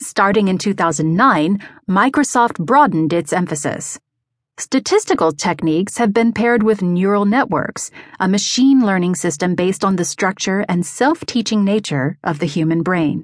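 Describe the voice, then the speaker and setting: In a normal speaking voice, a woman talks at a medium pitch and moderate pace with lively intonation against a quiet background. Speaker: audiobook narrator. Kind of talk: audiobook narration of a magazine article. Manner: steady, even, measured pace; formal, neutral and informative.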